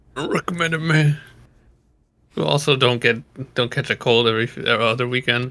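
A man at a medium pitch talks at a fairly quick pace with a bright, sharp tone, vocal fry and long, frequent pauses. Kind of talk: casual chat. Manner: joking, casual, profane.

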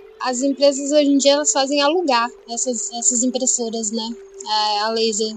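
Noticeable background noise accompanies a woman's high-pitched voice, which has ordinary pitch variation and a moderate pace. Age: 30s. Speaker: environmental engineer. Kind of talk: casual interview.

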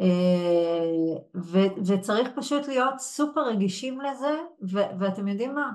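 A woman's medium-pitched voice with lively intonation, at a fairly slow pace. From Israel, Yehud. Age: 40s. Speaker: HR executive and coach. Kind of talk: webinar interview. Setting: live webinar.

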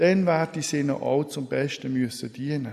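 A man with a plain, everyday voice speaks at a moderate pace, his fairly high pitch rising and falling in an ordinary way. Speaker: preacher. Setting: church. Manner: formal, solemn and measured, with a warm pastoral tone.

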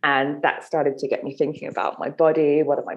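With a London accent, a woman speaks at a very deep, low pitch. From southern England, London. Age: 30s. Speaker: menstrual cycle coach and author. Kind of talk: casual interview chat.

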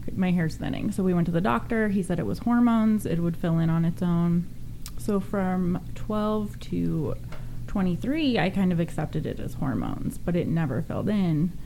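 A woman with an American accent speaks at a moderate pace, her fairly low pitch showing ordinary pitch variation and a dark, mellow tone. The recording has audible room echo. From Northern California. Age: 30s. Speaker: pageant contestant with alopecia. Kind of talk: radio interview. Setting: studio.

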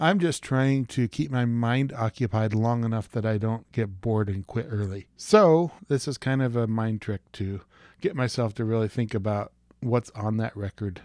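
Medium in pitch, a man speaks in an unremarkable speaking voice at a moderate pace with ordinary pitch variation. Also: very clean recording, silent background. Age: 40s. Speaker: podcast host, music reviewer. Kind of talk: casual monologue review.

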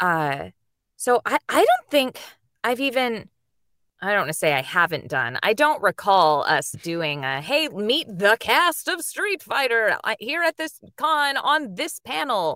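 A woman with a fairly high voice and vocal fry speaks at a fairly slow pace, using very wide pitch swings. The recording is very clean with a silent background and has a dry, close sound with no echo. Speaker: voice actress and anime dub director. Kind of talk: interview. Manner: animated.

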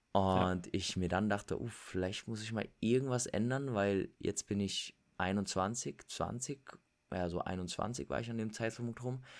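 Against a very clean recording with a silent background, a man with a fairly low pitch talks at a very slow pace with ordinary pitch variation. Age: 20s. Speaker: fitness and lifestyle influencer. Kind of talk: casual interview.

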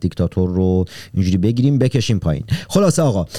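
Very deep, low male voice, dark and mellow in tone, with ordinary pitch variation. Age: 30s. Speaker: podcast host. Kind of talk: casual interview.

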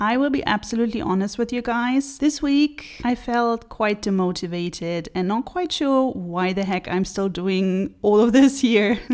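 Speaking at a fairly slow pace, a woman uses lively intonation and a fairly high pitch. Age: 30s. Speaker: beauty blogger and podcast host. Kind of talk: solo podcast talk. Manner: chatty, upbeat.

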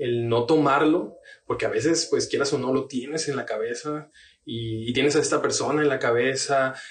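A man speaks in a fairly high, somewhat breathy voice. His intonation stays fairly even at a moderate pace. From Tabasco, Mexico. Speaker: pastor. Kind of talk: casual chat.

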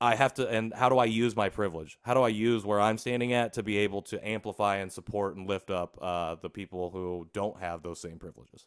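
A man with a Midwestern American accent, fairly low-pitched and fairly quick, hardly pausing, his intonation fairly even and his loudness swinging widely, on a very clean, dry, close recording with no echo and a silent background. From US Midwest, Indiana. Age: 30s. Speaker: podcast co-host and adoptee advocate. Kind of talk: casual interview.

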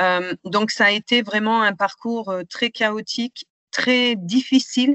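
This woman's voice sits fairly high in pitch. Her intonation rises and falls in an ordinary way. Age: 50s. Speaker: patient advocate and trainer. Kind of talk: interview testimony. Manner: hesitant, many fillers.

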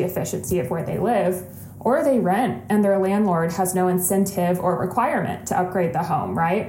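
With a Midwestern American accent, a woman talks at medium pitch and a moderate pace with ordinary pitch variation, amid audible room echo and noticeable background noise. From Ohio, west side of Cleveland. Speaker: podcast co-host, sustainability professional. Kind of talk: casual interview.

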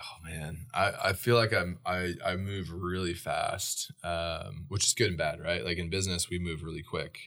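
Hardly pausing, a man with an American accent speaks at a very deep, low pitch in a bright, sharp tone and fairly even intonation. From US Pacific Northwest (Idaho, Oregon). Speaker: founder of a social enterprise. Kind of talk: interview. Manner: fast-paced, many fillers and restarts.

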